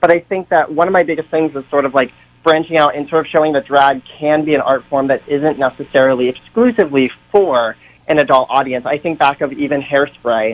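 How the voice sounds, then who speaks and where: At a fairly quick pace, a man with an American accent speaks in a fairly high pitch. His is an ordinary speaking voice, with ordinary pitch variation. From central Massachusetts, US. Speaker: drag performer. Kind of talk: radio interview debate. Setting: phone call.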